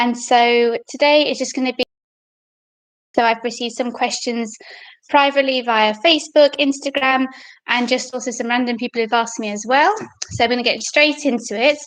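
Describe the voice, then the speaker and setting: A high-pitched woman with a British accent talks at a fairly quick pace with fairly even intonation and long, frequent pauses. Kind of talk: casual live-stream Q&A to camera. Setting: home live stream, poor internet connection.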